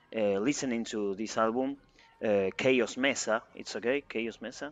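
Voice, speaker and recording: A man with a Spanish accent speaks at a medium pitch and a moderate pace. His intonation stays fairly even. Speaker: interviewer. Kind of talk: interview. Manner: halting.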